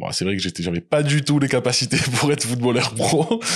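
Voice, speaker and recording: With a southern French accent, a man speaks with ordinary pitch variation over noticeable background noise. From southern France, small village. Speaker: salaried employee and Amazon seller. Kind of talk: interview. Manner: hesitant, many fillers.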